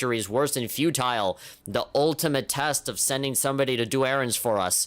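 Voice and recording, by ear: Natural-voiced reading aloud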